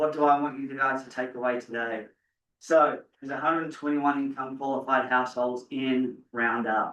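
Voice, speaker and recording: At a medium pitch and moderate pace, a man's bright, sharp tone stays monotone and flat. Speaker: housing developer. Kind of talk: presentation at a board meeting.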